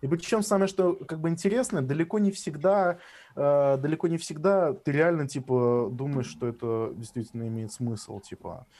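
Lively intonation marks a man's fairly high voice with a dark, mellow tone at a moderate pace. The recording is very clean, with a silent background. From Russia, Samara. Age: 20s. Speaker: drum and bass producer. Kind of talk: casual chat.

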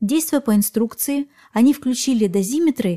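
Somewhat breathy and dark, mellow in tone, a woman speaks calmly at a moderate pace with lively intonation, in a dry, close sound with no echo. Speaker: podcast host. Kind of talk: true-crime narration, scripted storytelling with eerie, suspenseful build-up. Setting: podcast recording. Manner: calm, clear scripted delivery that lingers on creepy details.

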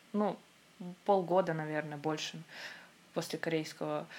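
In a very clean recording with a silent background, a woman speaks at a moderate pace with ordinary pitch variation. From Russia, Khanty-Mansi region. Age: 20s. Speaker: Korean language teacher. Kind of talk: casual chat.

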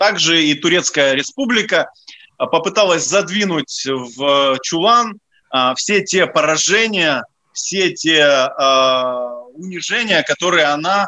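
A man at a high pitch with ordinary pitch variation, speaking at a very slow pace with long, frequent pauses. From Ukraine, Odesa. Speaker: historian and commentator. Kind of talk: radio interview. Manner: halting, many fillers.

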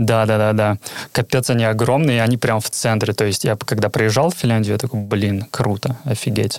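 A man with an unremarkable speaking voice talks at a moderate pace and medium pitch, keeping his intonation fairly even. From Karelia, Petrozavodsk. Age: 20s. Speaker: QA tester. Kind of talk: casual interview chat.

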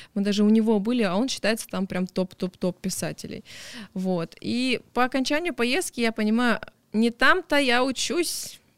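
A woman speaks at a fairly slow pace in an energetic tone, with lively intonation and a fairly high pitch. The sound is dry and close with no echo, on a very clean recording with a silent background. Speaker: deputy museum director. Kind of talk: interview. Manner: talkative, energetic; animated.

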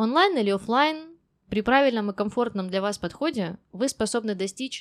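A woman speaks in an ordinary speaking voice at medium pitch and a moderate pace, her intonation lively, on a very clean recording with a silent background. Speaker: English teacher podcast host. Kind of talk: monologue.

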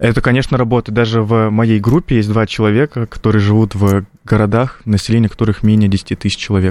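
A man with a fairly low pitch speaks very fast. His loudness stays very even and his intonation fairly even. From North Ossetia, Russia. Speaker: political science student. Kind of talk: radio panel discussion.

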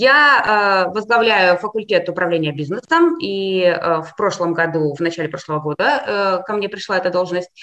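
At a moderate pace and with hardly any pauses, the speaker shows ordinary pitch variation over noticeable background noise. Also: woman, medium pitch for a woman. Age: 40s. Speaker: university dean and psychologist. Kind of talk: interview.

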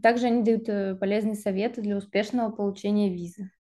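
A woman speaks in a dark, mellow tone with a monotone, flat intonation. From Siberia, Russia (Krasnoyarsk). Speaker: master's student and UX designer apprentice. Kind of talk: interview.

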